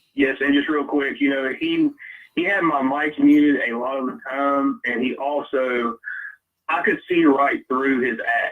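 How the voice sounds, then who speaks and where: A man with a strong Southern US accent, fairly even intonation and a fairly slow pace. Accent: deep Southern. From US South, Louisiana. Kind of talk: casual chat. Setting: live stream.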